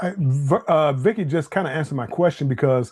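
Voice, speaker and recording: A man with a fairly high pitch and a somewhat breathy sound keeps a moderate speed, his intonation lively. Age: 60s. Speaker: travel livestream host, retired civil servant. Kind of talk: casual livestream chat. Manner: halting, many repeated words.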